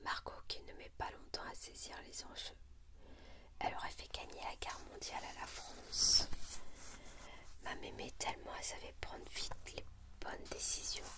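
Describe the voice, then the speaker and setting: The speaker whispers at a fairly slow pace with long, frequent pauses. Noticeable background noise can be heard. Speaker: ASMR reader. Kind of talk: book reading. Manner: whispered.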